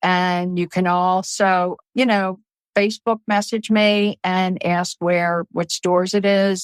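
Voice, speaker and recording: A woman with a Baltimore accent talks at a very slow pace, her medium-pitched voice monotone and flat. The sound is dry and close with no echo, on a very clean recording with a silent background. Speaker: author. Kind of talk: casual chat.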